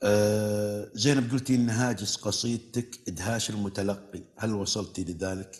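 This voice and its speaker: With a plain, everyday voice, a man talks at a fairly slow pace with hardly any pauses, fairly low pitch and fairly even intonation against a quiet background. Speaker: TV poetry show host. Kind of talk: TV talk show interview. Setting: studio with audience. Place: studio. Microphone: lapel.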